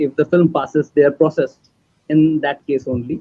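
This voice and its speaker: A man with a Marathi accent speaks fairly slowly in a fairly high pitch. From India, Maharashtra. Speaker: filmmaker. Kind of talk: panel discussion.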